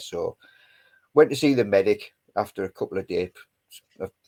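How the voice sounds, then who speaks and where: A man with a Geordie accent speaks at a fairly slow pace. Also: dry, close sound with no echo. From northern England, Newcastle (West End). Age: 50s. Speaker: army veteran. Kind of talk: casual chat.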